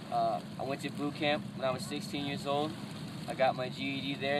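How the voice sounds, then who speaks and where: Over noticeable background noise, a man at a medium pitch talks at a very fast pace with fairly even intonation. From southern Louisiana, near New Orleans (Cajun). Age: 20s. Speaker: reality show casting hopeful. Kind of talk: self-introduction monologue. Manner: loud.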